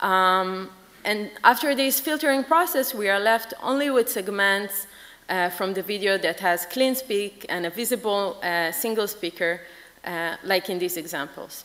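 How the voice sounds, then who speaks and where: At a fairly slow pace, a woman talks with lively intonation. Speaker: conference presenter. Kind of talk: lecture. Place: hall. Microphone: podium.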